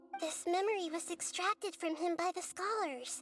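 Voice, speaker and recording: A female-sounding, put-on character voice speaks at a moderate pace in an extremely high pitch. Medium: video game. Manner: gentle, measured.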